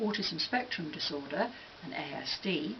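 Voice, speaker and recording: Her pitch makes very wide swings as this woman speaks at a moderate pace. Noticeable background noise runs underneath. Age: 60s. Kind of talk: scripted commentary.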